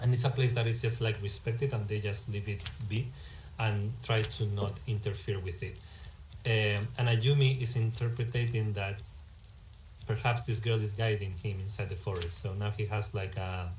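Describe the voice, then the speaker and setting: Speaking with a Spanish accent, a man with a fairly low pitch sounds somewhat breathy, his fairly even intonation carried in audible room echo. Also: moderate pace. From Spain. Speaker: game developer. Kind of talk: live stream commentary. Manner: halting.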